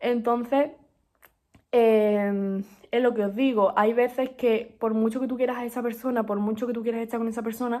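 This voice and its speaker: A woman with a fairly high pitch and a dark, mellow tone speaks in a monotone, flat intonation. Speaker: book podcast host. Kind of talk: casual monologue book review. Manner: fast; hesitant, many fillers.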